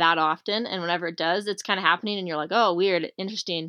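With a General American accent, a woman speaks in an ordinary speaking voice, her fairly low pitch carrying fairly even intonation. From Arizona, US. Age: 20s. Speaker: professional rock climber. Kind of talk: casual interview.

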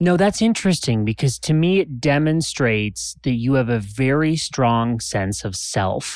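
In a very clean recording with a silent background, a man with a medium pitch speaks in a normal speaking voice at a fairly slow pace, with lively intonation and hardly any pauses. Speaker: podcast host. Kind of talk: casual interview chat.

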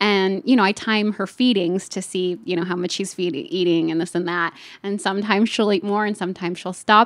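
A woman at a medium pitch with ordinary pitch variation, fairly quick and with hardly any pauses, on a very clean recording with a silent background. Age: 30s. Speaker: program alumna sharing recovery story. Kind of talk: casual chat.

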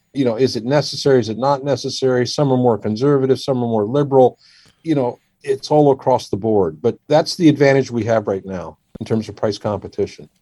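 Talking at a fairly quick pace, a man with an American accent has a dark, mellow tone at medium pitch with ordinary pitch variation. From Washington D.C. area, US. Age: 60s. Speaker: surgeon. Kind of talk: podcast interview.

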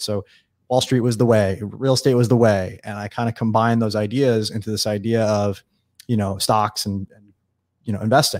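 A man with a fairly low pitch and fairly even intonation speaks at a fairly quick pace. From US Northeast (eastern Long Island, New York). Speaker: entrepreneur. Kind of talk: interview conversation.

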